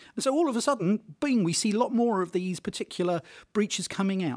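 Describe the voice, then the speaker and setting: A man speaks with a British accent at a high pitch, his voice making very wide pitch swings. The recording is very clean, with a silent background. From Britain. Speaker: tech journalist. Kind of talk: interview. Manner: hesitant, many fillers.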